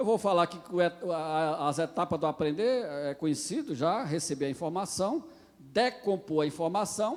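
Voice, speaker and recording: A man speaks in a high voice at a moderate pace. His intonation is lively. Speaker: pastor. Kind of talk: lecture. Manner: halting.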